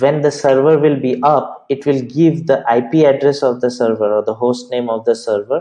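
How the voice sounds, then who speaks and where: Here a man talks at a moderate pace with a medium pitch. His tone is dark and mellow, and his pitch varies in an ordinary way. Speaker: DevOps tutorial creator. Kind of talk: tutorial.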